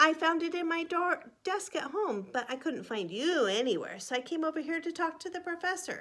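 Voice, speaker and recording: In a put-on character voice, a woman talks at an extremely high pitch with lively intonation, keeping a moderate pace and hardly pausing. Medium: read story.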